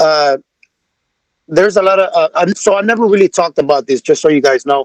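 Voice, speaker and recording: In a dry, close sound with no echo, a man with a high pitch talks at a very fast pace, his loudness very even and his pitch variation ordinary. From Nicaragua. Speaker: music artist. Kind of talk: podcast interview.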